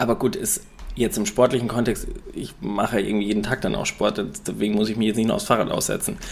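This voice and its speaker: A man's very fast speech against noticeable background noise. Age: 30s. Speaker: podcast co-host and fitness coach. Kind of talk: casual chat.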